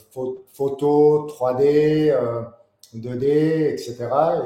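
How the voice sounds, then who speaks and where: A man speaks at a very slow pace in a dark, mellow tone, his intonation fairly even. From Paris, France. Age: 40s. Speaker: board game designer and graphic artist. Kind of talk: interview. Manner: hesitant, many fillers.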